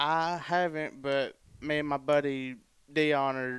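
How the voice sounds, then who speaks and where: On a very clean recording with a silent background, a man with an Alabama accent speaks at a fairly high pitch with monotone, flat intonation. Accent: US Southern (Alabama). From Alabama, Cherokee County. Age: 20s. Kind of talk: casual chat.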